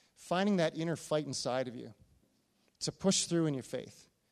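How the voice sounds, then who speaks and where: Pitched fairly high, a man speaks at a fairly quick pace with ordinary pitch variation. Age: 40s. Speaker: pastor. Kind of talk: sermon.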